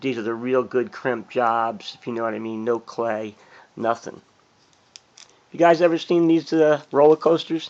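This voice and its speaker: A man of medium pitch talks at a moderate pace with ordinary pitch variation, big swings in loudness, and long, frequent pauses. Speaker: fireworks collector and YouTuber. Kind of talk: casual show-and-tell video. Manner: casual, rambling with fillers.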